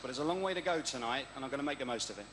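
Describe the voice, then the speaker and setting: Very fast speech from a fairly high-pitched man, with noticeable background noise and audible room echo. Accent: East Midlands. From Derby, East Midlands of England. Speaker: game show contestant. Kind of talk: TV interview. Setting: indoor arena with live audience.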